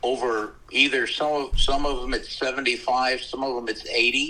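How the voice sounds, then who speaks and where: A man speaks against noticeable background noise. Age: 70s. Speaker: podcast co-host. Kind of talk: casual chat.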